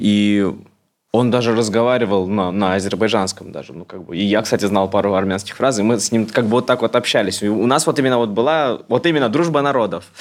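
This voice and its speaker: A man with an ordinary speaking voice talks at a fairly quick pace, his fairly low pitch showing ordinary variation. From Moscow. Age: 30s. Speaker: blogger. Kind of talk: casual chat.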